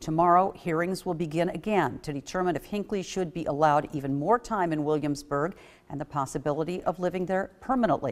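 A fairly quick pace from a woman with a very deep, low pitch. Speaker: news anchor. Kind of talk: news reading, polished broadcast anchor delivery. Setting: studio. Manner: formal, steady, even-paced.

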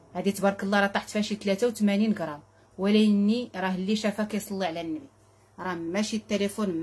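A woman speaks in a somewhat breathy voice. Light background noise sits behind her. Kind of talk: sales presentation chat. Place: shop. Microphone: phone near.

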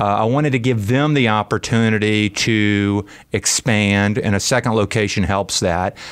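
A man with an American accent has an ordinary speaking voice, pitched fairly low. He talks at a moderate pace, with very even loudness and fairly even intonation. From US South, Birmingham, Alabama. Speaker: restaurant owner. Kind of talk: radio interview. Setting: radio studio.

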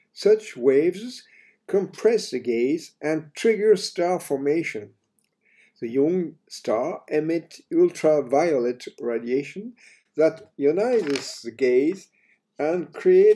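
A man with a French accent speaks very slowly at a fairly high pitch, with lively intonation and a dark, mellow tone, on a very clean recording with a silent background. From France. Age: 80s+. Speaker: astrophysicist. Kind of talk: science lecture narration.

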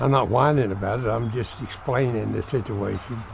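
With a Southern US accent, a man speaks in fairly even intonation over noticeable background noise. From US South, Florida. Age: 70s. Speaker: vlogger. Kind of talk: casual vlog monologue. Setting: outdoors. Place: garden. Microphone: phone near.

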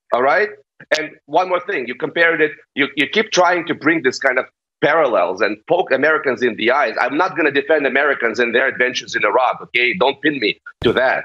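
Over a quiet background, someone with a Russian accent speaks at a fairly quick pace. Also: man, fairly high pitch for a man, ordinary pitch variation. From eastern Ukraine (Donetsk). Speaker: political pundit. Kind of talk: heated debate. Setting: video call. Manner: animated. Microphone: video call.

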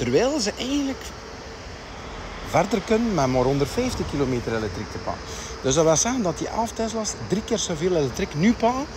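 Over noticeable background noise, the speaker moves at a moderate pace with very wide pitch swings, the sound dry with no echo. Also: man. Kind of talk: casual vlog chat. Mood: cheerful, chatty. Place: street. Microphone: phone near.

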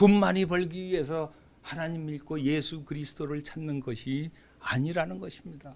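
This man has a fairly high pitch and ordinary pitch variation. He talks at a moderate pace. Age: 60s. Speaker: preacher. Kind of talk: sermon. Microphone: podium.

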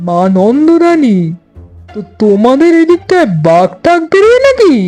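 Faint music plays in the background while a woman uses a put-on character voice at a fairly slow pace. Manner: frightened.

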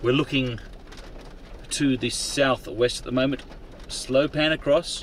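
A man talks at a medium pitch with a fairly bright tone.

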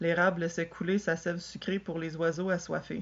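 Woman with a Quebec accent, a fairly low pitch, monotone, flat intonation and a moderate pace. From Quebec, Canada. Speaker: storyteller. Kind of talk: children's tale reading. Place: home room. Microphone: webcam.

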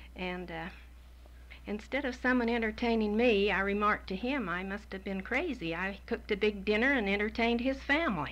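In an American accent, a woman speaks at a moderate pace with a warm tone, vocal fry and ordinary pitch variation. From Utah, USA. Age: 60s. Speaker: grandmother telling life story. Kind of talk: personal life story recollection. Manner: warm, sentimental. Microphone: old recording.

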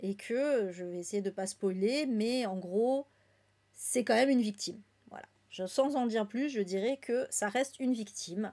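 Fairly high for a woman, her voice has a dark, mellow tone and ordinary pitch variation. She goes at a fairly slow pace over a quiet background. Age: 30s. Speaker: book YouTuber and streamer; book YouTuber, streamer. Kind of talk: casual live-stream book review. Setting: live stream recorded at home. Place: home room.

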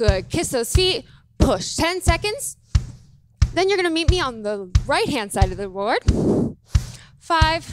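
Against background music, a woman with an extremely high pitch speaks at a fairly slow pace with long, frequent pauses, in a dry sound with no echo. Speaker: fitness instructor. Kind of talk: workout instruction cues. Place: gym. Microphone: headset.

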